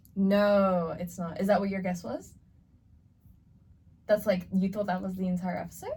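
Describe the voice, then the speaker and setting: Somewhat breathy and dark, mellow in tone, this voice has an American accent and moves at a moderate pace. Its intonation is flat and monotone, broken by long, frequent pauses. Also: woman, medium pitch for a woman. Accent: American-sounding. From Australia. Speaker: podcast co-host. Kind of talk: casual chat.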